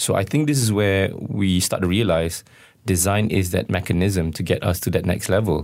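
A man speaks at a fairly quick pace. The recording is very clean, with a silent background. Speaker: festival co-founder. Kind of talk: casual interview chat. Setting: radio studio. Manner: hesitant, filler-heavy.

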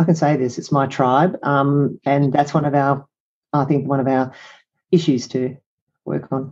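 This woman has a very deep, low pitch and a dark, mellow tone. She speaks with an Australian accent. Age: 60s. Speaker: psychologist and business coach. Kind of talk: interview conversation.

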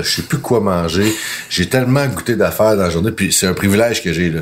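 Speech at a moderate pace with ordinary pitch variation, over noticeable background noise. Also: man. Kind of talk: casual chat. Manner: often loud.

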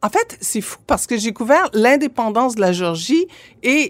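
Her pitch swings very widely, captured in a very clean recording with a silent background and a dry, close sound without echo. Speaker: former MP, lawyer and journalist. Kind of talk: casual interview. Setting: studio. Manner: halting, many fillers.

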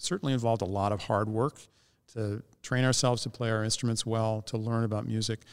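A man with an American accent speaks at a medium pitch with ordinary pitch variation in a plain, everyday voice, recorded very cleanly against a silent background with a dry, close sound and no echo. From US Midwest, Northeast Ohio. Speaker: orchestra musician, bassoonist. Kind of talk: interview. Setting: ballroom of a concert venue.

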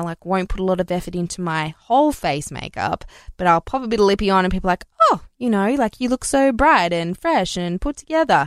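A woman with an Australian accent speaks at a fairly quick pace with lively intonation in a dry, close sound with no echo and a very clean recording with a silent background. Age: 30s. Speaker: beauty podcast host. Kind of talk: solo product review monologue.

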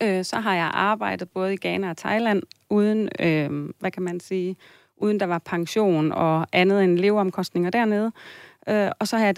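Dry and close with no echo, a woman with an ordinary speaking voice talks at a medium pitch and a fairly slow pace with fairly even intonation. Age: 40s. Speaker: listener seeking financial advice, family counselor. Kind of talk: advice radio conversation. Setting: radio studio.

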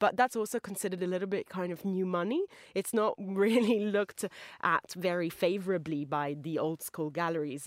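Recorded very cleanly against a silent background, with a dry, close sound and no echo, a woman speaks in a normal speaking voice with ordinary pitch variation. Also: medium pitch for a woman, fairly quick pace. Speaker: magazine deputy editor, art reviewer. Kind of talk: casual discussion. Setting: studio.

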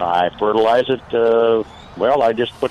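Noticeable background noise runs through the clip. A man speaks at a medium pitch. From Wisconsin. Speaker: caller. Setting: phone call.

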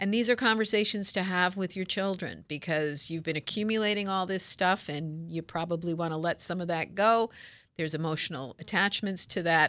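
Over a quiet background, a woman with an unremarkable speaking voice and medium pitch talks at a fairly quick pace with ordinary pitch variation. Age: 60s. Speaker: home care franchise owner. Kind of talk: radio interview.

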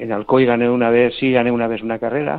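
At a moderate pace, a man with a medium pitch talks in an ordinary speaking voice. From Spain, Elche (Alicante). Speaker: former cyclist. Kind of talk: radio interview.

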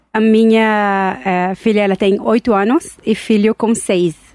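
With ordinary pitch variation, the words come out at a very slow pace. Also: woman. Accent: strong non-native. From Israel, Tel Aviv. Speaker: entrepreneur and chronic illness advocate. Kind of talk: interview. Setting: studio. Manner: halting.

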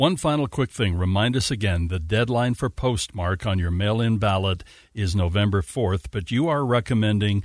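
Against a quiet background, a man uses an ordinary speaking voice at fairly low pitch and moderate pace, with ordinary pitch variation and a dry, close sound with no echo. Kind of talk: live radio host patter, thanking a guest and teasing the next segment before a break.

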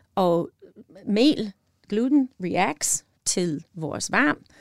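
Speaking at a very slow pace, a woman with a medium-pitched voice is heard in a dry, close sound with no echo on a very clean recording with a silent background. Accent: Midwestern American. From US Midwest, northern Wisconsin. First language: English (speaking Danish). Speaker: chef and pie shop owner. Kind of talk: casual interview. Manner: halting, many fillers.

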